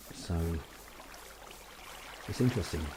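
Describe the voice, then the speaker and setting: A man talks with a very deep, low pitch. Noticeable background noise runs underneath. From United Kingdom. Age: 30s. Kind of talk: casual gameplay commentary. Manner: hesitant, rambling.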